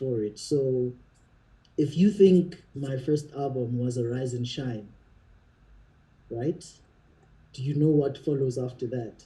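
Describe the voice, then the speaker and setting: A man speaks at a fairly slow pace in a somewhat breathy, dark, mellow voice of medium pitch, with ordinary pitch variation. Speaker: singer and songwriter. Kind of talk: casual chat.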